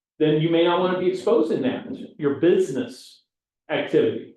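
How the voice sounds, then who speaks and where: Speaking at a fairly quick pace, a man's voice carries audible room echo. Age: 60s. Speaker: CPA and real estate class instructor. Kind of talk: lecture. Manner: casual, conversational.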